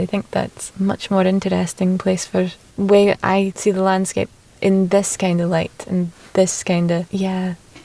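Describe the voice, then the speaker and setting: Delivered at a fairly slow pace with a Shetland accent, the speech is monotone, with flat intonation. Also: woman. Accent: Shetland Scottish. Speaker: poet. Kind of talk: casual interview. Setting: outdoors. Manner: halting.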